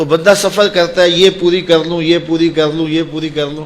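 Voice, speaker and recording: A man's voice against noticeable background noise. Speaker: Islamic preacher. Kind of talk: religious sermon (bayan). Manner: emotional, earnest.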